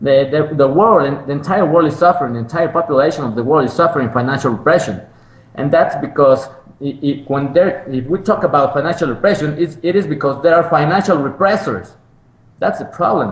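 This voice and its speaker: Fairly high-pitched man talking at a fairly quick pace with ordinary pitch variation, amid noticeable background noise. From Mexico. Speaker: economist. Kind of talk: interview. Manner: halting, many repetitions and fillers.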